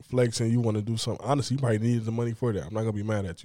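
A man's dark, mellow tone at medium pitch, fairly even in intonation, on a very clean recording with a silent background. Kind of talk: casual chat.

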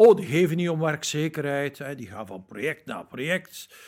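A man's voice, fairly high in pitch, with vocal fry. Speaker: labour market expert, company spokesperson. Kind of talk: interview. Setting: hotel.

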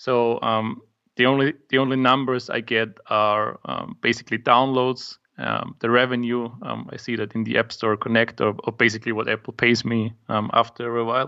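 In an Austrian accent, a man speaks at a moderate pace with a medium pitch and a monotone, flat intonation. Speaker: startup founder and app maker. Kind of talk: casual interview chat. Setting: video call. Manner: hesitant, filler-heavy.

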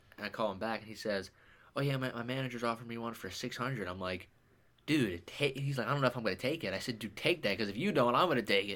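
A man speaks at a very fast pace, his pitch medium and its variation ordinary. The recording is very clean, with a silent background. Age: young. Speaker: sports podcast co-host. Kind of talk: casual chat.

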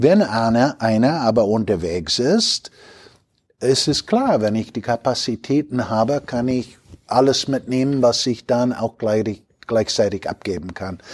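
This man has an American accent and a medium pitch. He talks at a fairly slow pace with ordinary pitch variation. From US Midwest, Chicago. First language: English (speaking German). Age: 60s. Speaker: logistics company executive. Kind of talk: interview. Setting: company headquarters near Düsseldorf.

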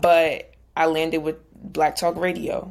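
With an American accent, the woman talks in a fairly low pitch. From New Jersey. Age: 20s. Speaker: content creator and radio show host. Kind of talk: podcast interview.

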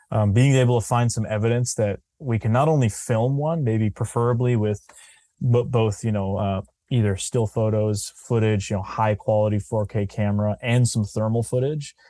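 A man speaks at a moderate pace with a medium pitch, a dark, mellow tone and fairly even intonation. His loudness stays very even, and the recording is very clean with a silent background. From New Hampshire. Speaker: filmmaker and cryptid researcher. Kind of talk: casual interview chat.

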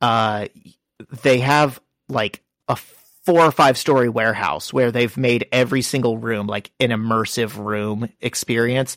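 A man speaks at a medium pitch and a fairly slow pace, with an unremarkable speaking voice. His pitch varies in an ordinary way, and the sound is dry and close with no echo. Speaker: comic book podcast host. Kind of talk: casual chat.

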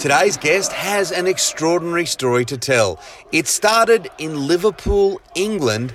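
Speaking at a fairly slow pace with an Australian accent, a man swings his pitch very widely over noticeable background noise. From Western Sydney, Australia. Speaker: podcast host. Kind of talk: casual interview; scripted intro.

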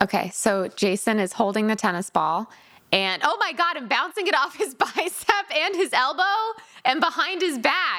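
An animated, raised, projected woman's voice in an American accent, high-pitched with very wide pitch swings, at a moderate pace over noticeable background noise. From Connecticut. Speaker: podcast host. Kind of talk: casual chat.

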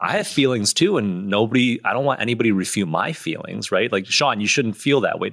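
With an American accent and lively intonation, a man speaks at a very fast pace with hardly any pauses. His pitch is medium, and there is noticeable background noise. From US Midwest. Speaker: podcast host. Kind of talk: casual interview.

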